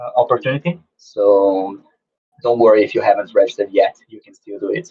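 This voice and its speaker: The speaker is a man. He talks at a moderate pace. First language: not English. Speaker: game publisher. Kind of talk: online talk with Q&A. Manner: halting, many fillers and repeats.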